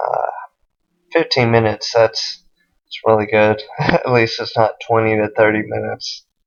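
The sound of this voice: A man's fairly low voice with vocal fry, fairly slow delivery and little pitch movement.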